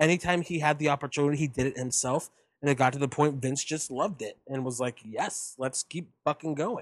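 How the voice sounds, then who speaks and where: Fairly quick and with ordinary pitch variation, a man talks in a normal speaking voice. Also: fairly high pitch for a man. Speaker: wrestling podcast co-host. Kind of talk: casual chat.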